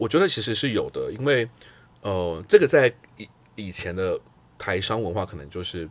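A man's fairly low voice with lively intonation and big swings in loudness, at a moderate pace broken by long, frequent pauses, on a very clean recording with a silent background. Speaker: career guest, customer success lead. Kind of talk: casual interview chat.

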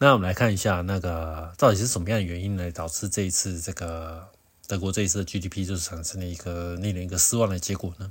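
A man talks at a very fast pace with a very deep, low pitch. His voice is somewhat breathy. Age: middle-aged. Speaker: podcast host. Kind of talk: solo news commentary. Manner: halting with many fillers.

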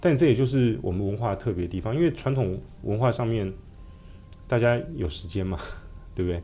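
A man with a dark, mellow, somewhat breathy voice at medium pitch talks fairly quickly with lively intonation and long, frequent pauses. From Taiwan, Taipei. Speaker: restaurateur and author. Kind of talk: interview.

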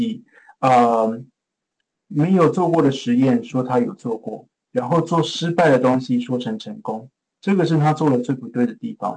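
A man with a Taiwanese accent talks at a fairly slow pace in a fairly high voice. His pitch swings very widely. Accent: Taiwanese Mandarin. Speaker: pharmaceutical innovation executive. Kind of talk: interview.

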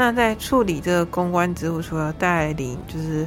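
A woman talks in a Taiwanese accent at a fairly slow pace. Her pitch is fairly low. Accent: Taiwanese Mandarin. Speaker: student podcast host. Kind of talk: casual interview.

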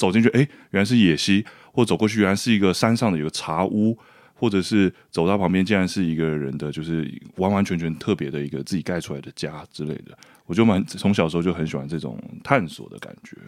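Speaking at a very fast pace, a man with a very deep, low pitch uses ordinary pitch variation and big swings in loudness on a very clean recording with a silent background. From Taiwan, hillside community near Taipei. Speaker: documentary filmmaker. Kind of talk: casual interview chat.

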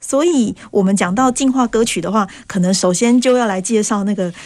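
Fairly high female speech with ordinary rises and falls, an unremarkable speaking voice. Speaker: history teacher. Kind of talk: radio interview.

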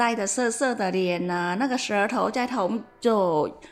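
This woman has a Vietnamese accent and a fairly high pitch. Her intonation is lively and her pace fairly slow. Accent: Vietnamese accent in Mandarin. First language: Vietnamese (speaking Chinese). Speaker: massage parlor beautician. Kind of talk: casual chat.

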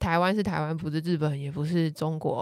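A woman with an unremarkable speaking voice uses a fairly low pitch and fairly even intonation in a very clean recording with a silent background. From Taiwan. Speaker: travel columnist. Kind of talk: casual chat.

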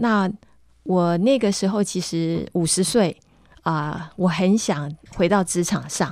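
Dark and mellow in tone, this woman's voice holds a medium pitch. It shows ordinary pitch variation. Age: 50s. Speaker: nonprofit executive director. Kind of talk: radio interview, personal testimony.

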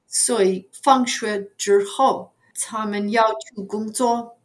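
Very slowly and with fairly even intonation, a woman with an English accent speaks at a fairly high pitch. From US Northeast, New York area. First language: English (speaking Chinese). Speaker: retired ESL teacher. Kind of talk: casual interview. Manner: halting, many fillers.

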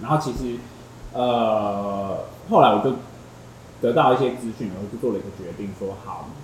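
A man speaks at a moderate pace and medium pitch, with long, frequent pauses and big swings in loudness. Noticeable background noise and audible room echo fill the recording. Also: ordinary pitch variation. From Taiwan, Tainan. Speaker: podcast guest sharing breakup story. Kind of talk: casual chat.

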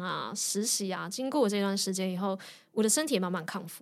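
Woman's voice at medium pitch and moderate pace, with audible room echo. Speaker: designer and yoga teacher, former lawyer. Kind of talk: interview conversation.

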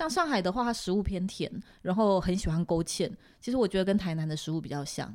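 In a very clean recording with a silent background, a woman talks very fast at a medium pitch with lively intonation. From Taiwan. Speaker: Taiwanese expat living in Shanghai. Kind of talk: casual interview chat. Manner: not soft or gentle in tone.

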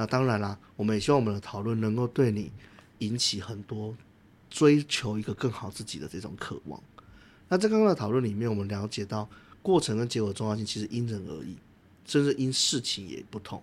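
An ordinary speaking voice from a man, fairly low in pitch with ordinary pitch variation, fairly quick, big swings in loudness, on a very clean recording with a silent background. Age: 30s. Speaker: podcast co-host. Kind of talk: casual discussion; scripted narration.

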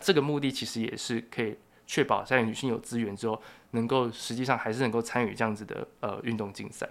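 The man has an unremarkable speaking voice and a medium pitch. He talks at a fairly quick pace with fairly even intonation. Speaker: journalism and sociology student. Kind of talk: casual interview.

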